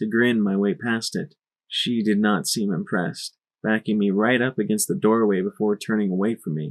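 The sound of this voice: Fairly even intonation in an unforced reading voice, with a quiet background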